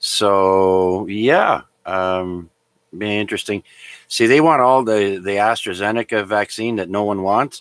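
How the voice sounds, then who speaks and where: A man's unremarkable speaking voice, fairly low in pitch, at a fairly slow pace, with a Canadian accent. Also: ordinary pitch variation, very clean recording, silent background. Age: 60s. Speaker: amateur radio net controller. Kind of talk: radio net chat. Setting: amateur radio transmission.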